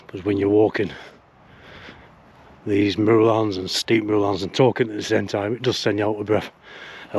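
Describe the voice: A man puts on a raspy character voice, fairly low in pitch. He talks at a fairly quick pace with monotone, flat intonation.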